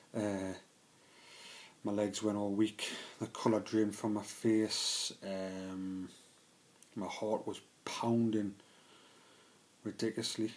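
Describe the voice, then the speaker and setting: Very slow, flat, monotone delivery from a man with a Geordie accent, fairly low in pitch, broken by long, frequent pauses. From northern England, Newcastle area. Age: 20s. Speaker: trainee electrician sharing mental health story. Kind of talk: personal testimony vlog. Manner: hesitant, many fillers.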